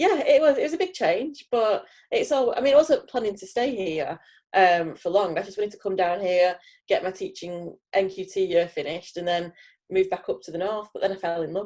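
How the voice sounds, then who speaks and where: A woman with a northern English accent, a dark, mellow tone, medium pitch and lively intonation. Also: fairly quick pace, big swings in loudness. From northern England, Heywood near Manchester. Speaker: teacher, cross stitch hobbyist. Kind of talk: casual interview.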